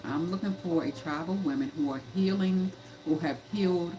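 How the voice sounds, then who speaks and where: A woman speaks in a very deep, low voice with an animated tone at a moderate pace. Noticeable background noise runs underneath. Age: 50s. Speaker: life coach and livestream host. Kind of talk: livestream talk. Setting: live stream. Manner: animated, repetitive.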